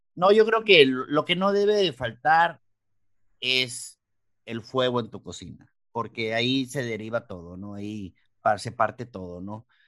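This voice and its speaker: Speaking fairly slowly at medium pitch, a man shows very wide pitch swings and big swings in loudness against a quiet background. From Mexicali, Baja California, Mexico. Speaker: chef. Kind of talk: interview. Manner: halting.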